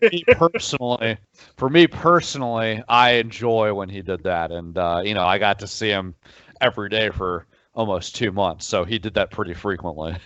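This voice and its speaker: An unremarkable speaking voice from a man, fairly low in pitch, with lively intonation at a moderate pace. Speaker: sports reporter. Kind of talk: interview.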